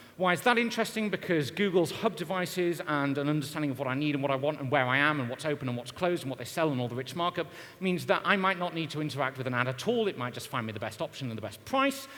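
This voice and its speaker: Very fast speech with hardly any pauses and lively intonation comes through noticeable background noise. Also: man, fairly high pitch for a man. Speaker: marketing consultant and conference speaker. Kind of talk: conference talk.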